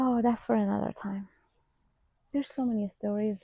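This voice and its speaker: In a Persian accent, a woman talks with somewhat breathy delivery. Her intonation stays fairly even. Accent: Persian (Iranian) accent in English. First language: Farsi. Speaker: vlogger, former hairstylist. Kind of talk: casual unscripted vlog chat. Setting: at home in front of a camera.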